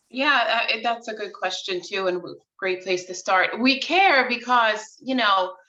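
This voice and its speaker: A woman with a New York accent and a fairly high pitch, talking at a fairly slow pace with hardly any pauses and big swings in loudness. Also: lively intonation. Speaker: real estate agent. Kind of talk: casual interview.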